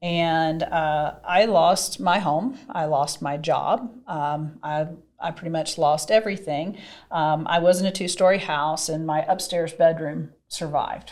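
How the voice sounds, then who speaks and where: Ordinary pitch variation marks a woman's fairly low voice with a slight Southern US accent. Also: fairly slow pace. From US South, Mississippi. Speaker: podcast host, real estate broker. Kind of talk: interview conversation.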